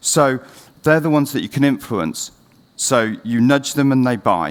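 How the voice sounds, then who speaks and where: A man talks at a moderate speed, his pitch varying in an ordinary way. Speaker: CEO giving a conference talk; conference presenter. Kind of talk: conference presentation. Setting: stage with audience. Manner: speeding up. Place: stage.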